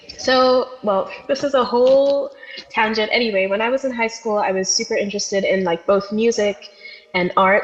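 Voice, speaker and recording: A woman talks fairly quickly, her pitch moving in an ordinary way, while noticeable noise sits in the background. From overseas, outside the US. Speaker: podcast guest, musician and artist. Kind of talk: casual interview chat. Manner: casual, many fillers (like, um).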